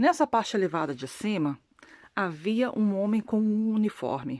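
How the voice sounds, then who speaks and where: A woman with a non-native accent speaks slowly at a medium pitch with lively intonation. The recording is very clean, with a silent background. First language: not Portuguese (speaking Portuguese). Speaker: religious video blogger. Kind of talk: testimony. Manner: halting.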